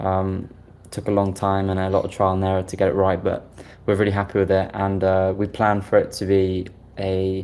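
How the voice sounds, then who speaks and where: In a British accent, a man talks with a very deep, low pitch and monotone, flat intonation. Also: moderate pace. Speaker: software developer. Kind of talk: interview.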